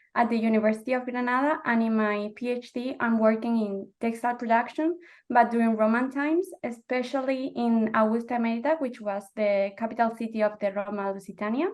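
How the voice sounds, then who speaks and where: This woman has a Spanish accent. She talks at a fairly quick pace. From Spain. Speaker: PhD student, archaeologist. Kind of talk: panel discussion.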